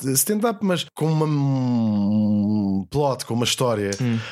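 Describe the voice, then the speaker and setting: An unremarkable speaking voice from a man, medium in pitch with ordinary pitch variation, in a very clean recording against a silent background. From Portugal. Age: 40s. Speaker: comedian and writer. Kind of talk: casual chat.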